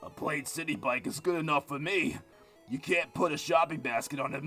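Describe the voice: A man's raspy, fairly high put-on character voice at a fairly quick pace, with clear music in the background.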